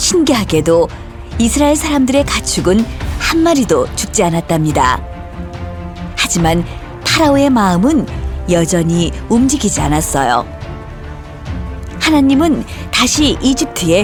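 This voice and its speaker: Over music in the background, a woman talks at a fairly slow pace with long, frequent pauses. Her pitch swings very widely while her loudness stays very even. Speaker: voice actor. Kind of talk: children's Bible story narration.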